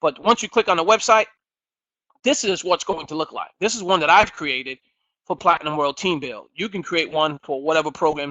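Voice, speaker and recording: A man's high-pitched voice, fairly quick in pace, with ordinary pitch variation. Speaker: webinar presenter and business founder. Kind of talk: software demo webinar. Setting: online webinar. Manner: fast.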